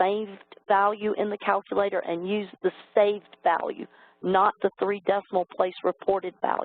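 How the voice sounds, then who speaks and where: This woman has a normal speaking voice, pitched in the medium range and delivered at a moderate pace. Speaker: calculus exam expert presenting to teachers. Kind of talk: educational webinar presentation. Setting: online webinar.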